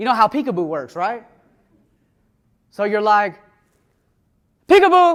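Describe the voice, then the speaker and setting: A high-pitched man with an American accent talks at a moderate pace. His pitch swings very widely, broken by long, frequent pauses. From US South, Atlanta, Georgia. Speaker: recovered addict sharing his story. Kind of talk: testimony talk to an audience. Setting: room with an audience.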